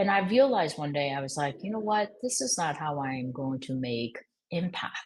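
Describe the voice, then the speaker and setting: Talking at a fairly quick pace, a woman with a very deep, low pitch and a slight Korean accent makes very wide pitch swings. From Korean American. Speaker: fashion executive. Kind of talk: podcast interview. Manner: halting.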